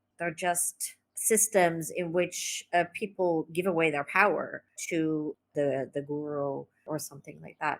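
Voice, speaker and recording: A woman with an American accent and an ordinary speaking voice, at a fairly low pitch and a fairly slow pace, with fairly even intonation, big swings in loudness, and a dry, close sound with no echo. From California, US (raised in a cult there). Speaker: spiritual healer and therapist. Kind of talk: podcast interview. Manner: casual, with many fillers.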